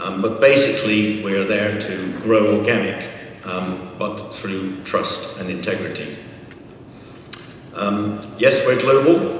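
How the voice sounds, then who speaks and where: Over noticeable background noise and audible room echo, a man speaks very slowly in a fairly low pitch with ordinary pitch variation. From UK. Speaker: executive director of an accreditation body. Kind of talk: conference talk. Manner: halting, many ums.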